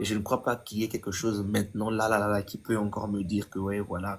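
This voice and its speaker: Very fast, somewhat breathy speech from a man with a fairly low pitch. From DR Congo. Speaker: gospel singer. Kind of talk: testimony.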